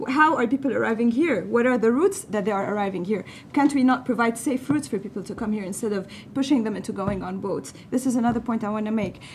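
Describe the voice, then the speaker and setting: A woman with a non-native accent talks at a very fast pace, her pitch fairly high with ordinary variation. Background noise is noticeable. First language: not English. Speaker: panelist, refugee advocate. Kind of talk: panel debate. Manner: animated.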